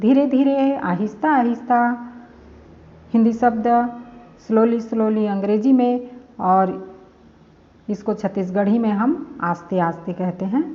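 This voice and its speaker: Speaking with a Chhattisgarh accent, a woman uses a fairly high pitch and ordinary pitch variation, leaving long, frequent pauses. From Chhattisgarh, India. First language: Chhattisgarhi (speaking Hindi). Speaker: language teacher. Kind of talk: tutorial. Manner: slow, repetitive.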